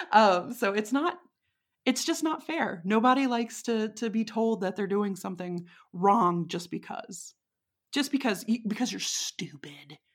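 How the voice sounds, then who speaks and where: With a Texan accent, a woman speaks fairly slowly in a fairly high pitch with lively intonation. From Texas. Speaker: witch and interviewee. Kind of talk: casual chat. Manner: laughs often, casual, halting.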